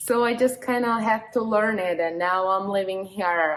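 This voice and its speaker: A woman with a Slovak accent speaks with ordinary pitch variation. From Slovakia. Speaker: bikini fitness competitor and vlogger. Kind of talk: casual vlog.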